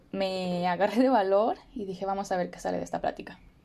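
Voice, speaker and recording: With a Mexican accent, a woman speaks at a medium pitch with ordinary pitch variation. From Mexico, Morelia. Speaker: podcast host. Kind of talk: personal storytelling monologue.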